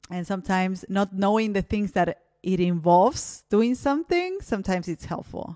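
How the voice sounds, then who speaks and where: A woman's medium-pitched voice, dark and mellow, with ordinary pitch variation and a dry, close sound free of echo. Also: moderate pace, hardly any pauses. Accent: Spanish. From Argentina. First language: Spanish. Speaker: podcast host. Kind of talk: interview. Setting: video call.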